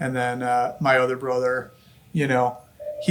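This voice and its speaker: A man with an American accent talks with fairly even intonation amid noticeable background noise. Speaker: family sausage business owner. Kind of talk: podcast interview, casual chat. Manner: hesitant, many fillers.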